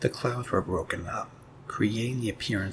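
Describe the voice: What we hear is plain reading aloud.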